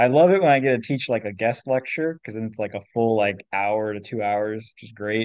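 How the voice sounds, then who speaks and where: With an American accent, a man talks at a fairly quick pace with hardly any pauses, ordinary pitch variation and big swings in loudness, in a dry sound with no echo and a quiet background. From Washington state, US. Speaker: science fair volunteer. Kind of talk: casual chat. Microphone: video call.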